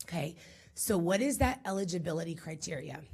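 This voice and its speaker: With lively intonation and a somewhat breathy voice, a woman speaks at a moderate pace. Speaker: school district administrator. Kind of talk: briefing presentation to a school board.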